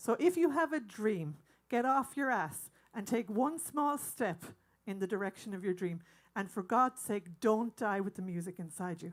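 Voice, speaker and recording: With an Irish accent, a woman speaks at a fairly high pitch, her voice making very wide pitch swings. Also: moderate pace. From Ireland. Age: 60s. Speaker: singer and bandleader. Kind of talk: stage banter to audience. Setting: stage with audience.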